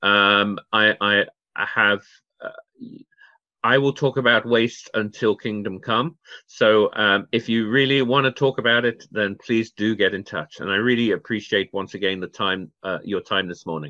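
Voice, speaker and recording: The speaker has a British accent and talks at a moderate pace with ordinary pitch variation. The background is quiet. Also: man, fairly low pitch for a man. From Channel Islands (Guernsey); Channel Islands. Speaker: waste management expert, charity founder; interview guest. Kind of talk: interview. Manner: halting, many fillers. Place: home room. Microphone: video call.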